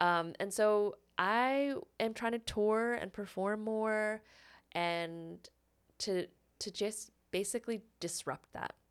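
In a very clean recording with a silent background, a woman speaks at a very slow pace with long, frequent pauses, her fairly high pitch showing ordinary variation. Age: 30s. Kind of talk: casual chat.

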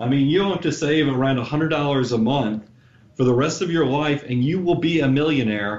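A man with an ordinary speaking voice talks at a moderate pace. His pitch is fairly high and his intonation is lively. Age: 40s. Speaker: financial advisor. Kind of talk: podcast interview.

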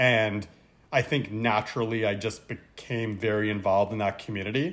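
A man's ordinary speaking voice with a Canadian accent, at a medium pitch and a moderate pace. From Montreal, Canada (English-speaking family). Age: 30s. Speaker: cancer patient and retreat director. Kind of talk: casual chat.

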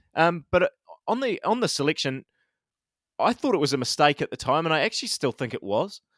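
A man with a New Zealand accent talks at a very fast pace in a high pitch, with very wide pitch swings. He takes long, frequent pauses, and the sound is dry and close with no echo. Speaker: cricket podcast host. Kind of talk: casual chat. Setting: video call.

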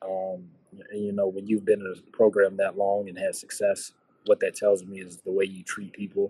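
A man with an American accent speaks at a moderate pace, his loudness swinging widely. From Virginia (Radford). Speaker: basketball coach. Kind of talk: casual interview.

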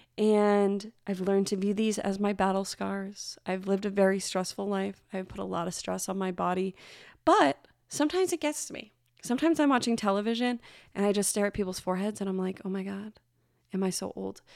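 A woman talks in a normal speaking voice at medium pitch, with ordinary pitch variation. Her pace is fairly quick, and the recording is very clean with a silent background. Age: 30s. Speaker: advice podcast host. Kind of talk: solo podcast monologue. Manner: gentle, warm.

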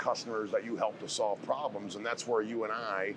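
Noticeable background noise sits behind a man speaking with an American accent. His pitch is medium and varies in an ordinary way. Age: 50s. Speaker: sales manager. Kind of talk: casual interview.

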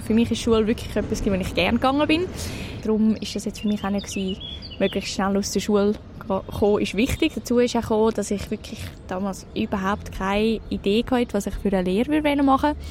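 Speech comes at a very fast pace with ordinary pitch variation. Noticeable background noise is present. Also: woman. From Switzerland, canton of Zurich (near Zürcher Oberland). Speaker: mentor and university student. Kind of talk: interview. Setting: café next to a train station.

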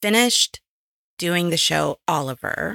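The woman is captured in a very clean recording with a silent background and a dry, close sound with no echo. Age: 40s. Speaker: podcast co-host. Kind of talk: casual chat.

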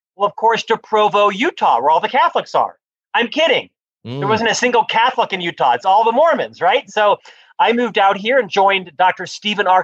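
With an American accent, a man talks at a fairly quick pace in a high pitch with very wide pitch swings. The sound is dry and close, with no echo. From US South, Florida (Orlando). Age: 50s. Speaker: author and business executive. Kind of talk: interview.

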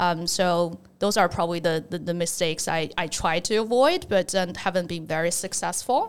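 A woman talks with a Chinese accent. Her pitch variation is ordinary. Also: moderate pace, hardly any pauses. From China, near Shanghai. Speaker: investment researcher. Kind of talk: interview conversation.

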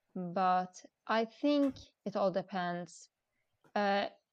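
In a Swedish accent, a woman speaks at medium pitch. The sound is dry and close with no echo, over a quiet background. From Sweden. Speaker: expat mother. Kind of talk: casual interview. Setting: remote call. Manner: halting.

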